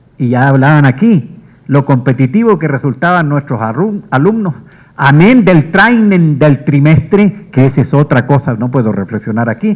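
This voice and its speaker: A man's somewhat breathy, fairly high voice with very wide pitch swings, at a fairly slow pace. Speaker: history professor. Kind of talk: tribute speech. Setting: auditorium with audience.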